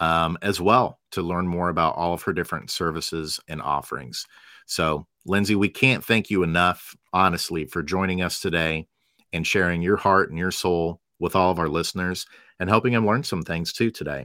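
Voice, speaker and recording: A man talks in a very deep, low voice with a bright, sharp tone. The recording is very clean, with a silent background. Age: 40s. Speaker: podcast host, former school psychologist. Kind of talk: interview.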